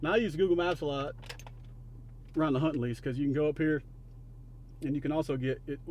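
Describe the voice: This man speaks at a fast pace. His voice sits fairly high and has a slightly mellow tone.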